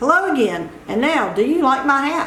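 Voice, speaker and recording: Using a put-on character voice, a woman speaks high-pitched at a moderate pace with a slight echo. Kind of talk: children's read-aloud. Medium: read story.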